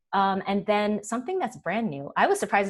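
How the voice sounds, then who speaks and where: This is a woman speaking. Her pitch is medium. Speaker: developer relations director giving product demo. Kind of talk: live webinar demo. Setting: online webinar, screen share. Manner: fast; casual, enthusiastic.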